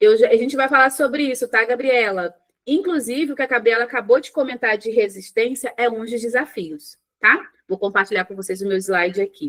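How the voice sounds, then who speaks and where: Speaking at a high pitch, a woman uses lively intonation, her loudness swinging widely. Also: fairly quick pace. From Rio de Janeiro, Brazil. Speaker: psychologist. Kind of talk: live online workshop. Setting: live stream with chat. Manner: conversational, informal.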